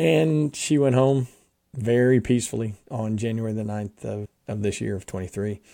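A man with an American accent, medium pitch and ordinary pitch variation, dark and mellow in tone, at a moderate pace. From US Northeast, South Jersey. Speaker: mission organization executive. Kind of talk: podcast interview, personal testimony.

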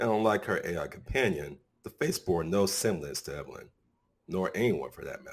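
The speaker reads in a natural reading voice. The background is quiet.

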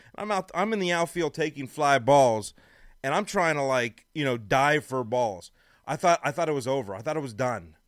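The recording is very clean with a silent background. A man in an ordinary speaking voice talks at a fairly high pitch and moderate pace with lively intonation. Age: 40s. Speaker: radio host. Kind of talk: casual chat.

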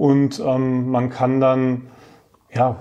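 Noticeable background noise is present. A man speaks over it. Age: 30s. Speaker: staff council member. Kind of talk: interview.

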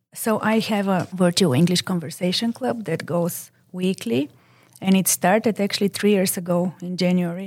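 A woman speaks at a moderate pace with a Bulgarian accent. The recording is very clean, with a silent background. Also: medium pitch for a woman, ordinary pitch variation. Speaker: librarian, conversation group facilitator. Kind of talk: interview podcast.

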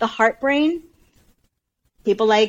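With lively intonation and a General American accent, a woman talks at a moderate pace in an ordinary speaking voice. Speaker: coach guest. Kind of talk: casual interview chat.

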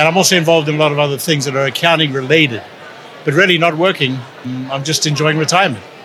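A man's fairly high-pitched voice at a very fast pace, fairly even in intonation, with noticeable background noise. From South Africa. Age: 60s. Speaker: retired accountant. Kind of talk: interview.

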